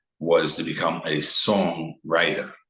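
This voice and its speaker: Over audible room echo, a man talks in a very deep, low voice with monotone, flat intonation. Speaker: singer-songwriter. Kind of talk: interview.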